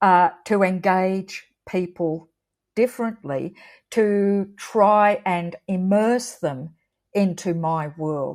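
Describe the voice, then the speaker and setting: Against a very clean recording with a silent background, a woman with an Australian accent speaks very slowly at a medium pitch with ordinary pitch variation. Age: 60s. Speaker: artist. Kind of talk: interview.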